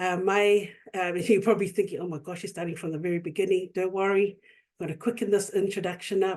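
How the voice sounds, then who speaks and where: Very fast and monotone, a woman with a New Zealand accent speaks at medium pitch with big swings in loudness. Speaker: youth worker and nonprofit director. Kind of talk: webinar presentation.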